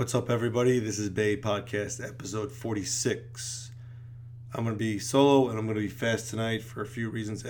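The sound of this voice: A man's hoarse, put-on character voice at medium pitch and a moderate pace, over noticeable background noise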